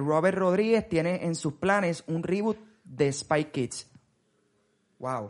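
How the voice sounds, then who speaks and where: A man with a high-pitched voice talks at a very slow pace. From Puerto Rico. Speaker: podcast host. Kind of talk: casual chat.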